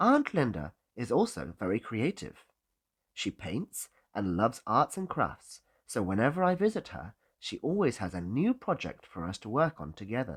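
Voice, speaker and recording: A man with a British accent shows vocal fry, very wide pitch swings and big swings in loudness. The recording is very clean with a silent background, and the sound is dry and close with no echo. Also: medium pitch for a man, moderate pace. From Britain. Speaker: English teacher. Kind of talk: English-learning listening lesson.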